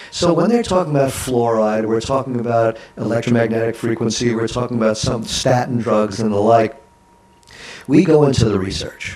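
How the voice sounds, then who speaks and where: Noticeable background noise is present. A man talks at a medium pitch. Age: 60s. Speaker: author and keynote speaker. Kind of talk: talk show interview.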